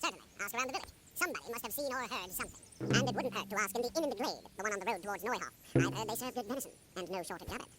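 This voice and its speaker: In a put-on character voice, a man races along at a very fast pace and a high pitch with ordinary pitch variation, over loud background noise. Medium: video game. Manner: blunt, brisk.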